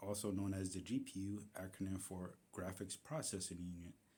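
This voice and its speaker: In a dark, mellow tone, a man speaks fairly slowly at a fairly low pitch. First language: not English. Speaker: tech YouTuber. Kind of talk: tutorial. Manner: halting, with fillers and self-corrections.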